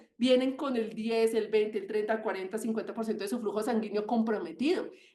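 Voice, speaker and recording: Amid audible room echo, a woman speaks in an animated, passionate tone with ordinary pitch variation. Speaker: medical doctor giving webinar talk. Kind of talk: webinar lecture. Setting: online webinar. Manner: fast.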